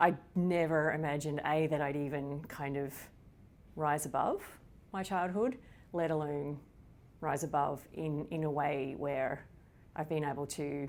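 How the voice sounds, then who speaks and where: Speaking at a fairly slow pace with long, frequent pauses, a woman with an Australian accent uses a very deep, low pitch and fairly even intonation. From Australia, rural Victoria. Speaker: psychology professor. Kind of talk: interview.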